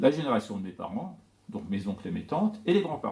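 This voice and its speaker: His pitch swings very widely from moment to moment. The man keeps a fairly quick pace. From Iran, Tehran, with early childhood in France. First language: Persian (speaking French). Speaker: poet and scholar of Persian literature. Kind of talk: talk to an audience. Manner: hesitant, many fillers.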